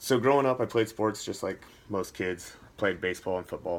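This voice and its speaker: A man talks at a moderate pace. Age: 20s. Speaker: fitness coach and soldier. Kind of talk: self-introduction video. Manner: casual, many filler words.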